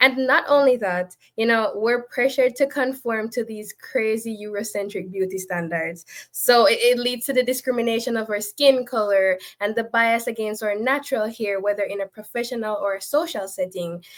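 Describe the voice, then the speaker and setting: This woman's voice sits fairly high. Her pitch rises and falls in an ordinary way. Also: moderate pace. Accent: Jamaican. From Jamaica. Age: 20s. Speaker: panelist. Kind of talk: panel discussion. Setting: online live stream.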